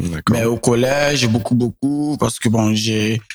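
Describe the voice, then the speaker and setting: A man talks at a fairly slow pace with a medium pitch and fairly even intonation. It is an ordinary speaking voice, recorded with a dry, close sound with no echo. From Niger, Niamey. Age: 20s. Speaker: singer and songwriter. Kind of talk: interview.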